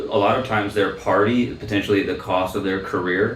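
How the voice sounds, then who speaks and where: Over noticeable background noise and audible room echo, a man speaks at a fairly low pitch with monotone, flat intonation. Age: 30s. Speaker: political candidate. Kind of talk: interview. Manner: halting, many fillers.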